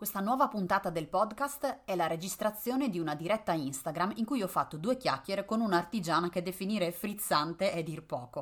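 A woman with a medium pitch speaks at a fairly quick pace in an ordinary speaking voice, with hardly any pauses. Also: lively intonation. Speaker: podcast host and Etsy consultant. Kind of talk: casual chat. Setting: recorded Instagram live. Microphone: poorly placed microphone, mediocre audio.

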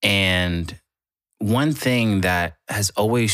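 A man's voice comes through on a very clean recording against a silent background. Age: 20s. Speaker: music artist and podcaster. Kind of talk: casual monologue. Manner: casual, filler-heavy.

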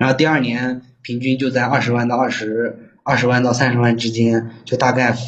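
Audible room echo surrounds a man speaking at medium pitch and a moderate pace. His intonation is monotone and flat, with hardly any pauses. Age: 20s. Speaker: caller seeking advice, online salesman. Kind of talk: phone-in advice call. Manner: halting.

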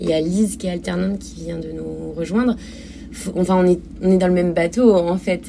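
Over noticeable background noise, a woman's voice swings widely in loudness. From France, Normandy (Cherbourg). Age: 30s. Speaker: shop owner. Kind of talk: interview.

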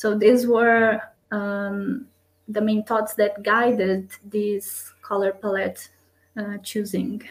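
In a Portuguese accent, a woman with a fairly high pitch speaks at a very slow pace with monotone, flat intonation. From Brazil. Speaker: designer and strategist. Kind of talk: interview.

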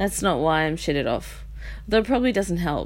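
The speaker has an Australian accent and very wide pitch swings. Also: woman. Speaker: podcast host. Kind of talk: casual monologue. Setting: bedroom at home. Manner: rambling, self-interrupting.

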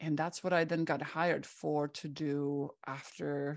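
A woman's very deep, low pitch with fairly even intonation, in a Czech accent. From Czech Republic. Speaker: psychotherapist. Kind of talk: interview. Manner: many filler words.

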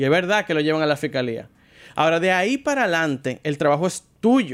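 A man with a Dominican accent talks at a fairly quick pace with very wide pitch swings on a very clean recording with a silent background. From Dominican Republic. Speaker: car show presenter. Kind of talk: casual chat.

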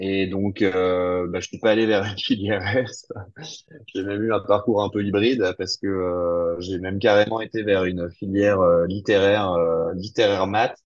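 A man's fairly low, flat, monotone voice at a fairly slow pace. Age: 40s. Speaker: entrepreneur. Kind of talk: interview.

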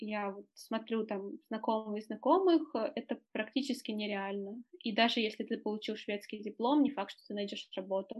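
A woman's plain, everyday voice, fairly high in pitch with ordinary pitch variation, at a moderate pace with hardly any pauses and big swings in loudness. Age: 20s. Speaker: journalist and volunteer. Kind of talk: casual interview.

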